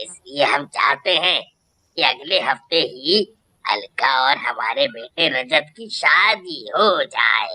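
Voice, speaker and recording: The speech moves at a very slow pace. It comes in a cartoonish character voice. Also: man, high pitch for a man. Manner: blunt, demanding.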